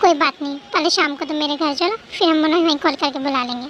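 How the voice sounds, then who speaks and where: A woman's put-on character voice, high-pitched and very fast, with ordinary pitch variation over clear background noise. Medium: read story. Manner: warm, teasing.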